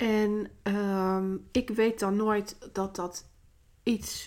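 The speaker is a woman. Her pitch stays fairly even throughout. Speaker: podcast host and business coach. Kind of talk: solo podcast monologue. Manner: many filler sounds, hesitant.

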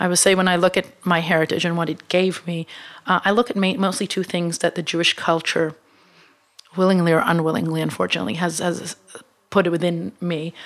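At a fairly quick pace, a woman with an Israeli accent speaks in a fairly low pitch with fairly even intonation. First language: Hebrew. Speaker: media company co-founder. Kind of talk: interview. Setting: studio.

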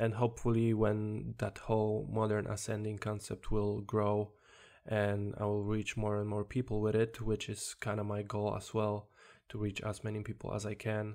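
With a Polish accent and monotone, flat intonation, a man talks at a moderate pace and a fairly low pitch. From Poland. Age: 20s. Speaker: self-development podcaster. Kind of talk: solo podcast monologue. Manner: halting.

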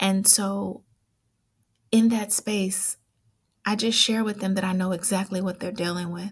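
In an American accent, a woman talks at a moderate pace with a medium pitch and a somewhat breathy quality. The recording is very clean, with a silent background. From Oakland, California. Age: 40s. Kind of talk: personal storytelling interview.

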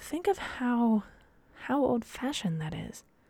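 Speaking in a Midwestern American accent, a woman takes a fairly slow pace. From US Midwest, Dayton, Ohio. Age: 20s. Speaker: podcast host and professional dancer. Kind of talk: solo casual monologue. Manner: rambling, many fillers and restarts.

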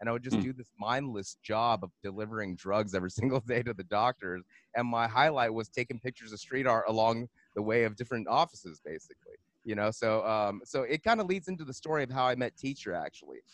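A man at a very fast pace, medium pitch and ordinary pitch variation, with a Southern Californian accent, in a dry, close sound with no echo. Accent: Southern California American. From Los Angeles, San Gabriel Valley. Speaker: podcast co-host, DJ. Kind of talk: casual chat.

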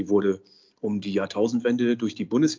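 With ordinary pitch variation, a man races along at a very fast pace. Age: 50s. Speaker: social pedagogue and business consultant. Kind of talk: interview.

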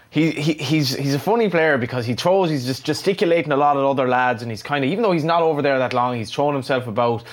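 Noticeable background noise sits behind the recording. A man rattles along very fast, his pitch varying in an ordinary way. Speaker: podcast host. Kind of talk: casual chat. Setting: studio.

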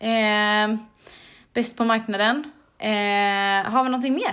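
With a normal speaking voice, a woman at a fairly high pitch talks with ordinary pitch variation over a quiet background. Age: 30s. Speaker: podcast host, triathlete. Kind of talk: casual chat.

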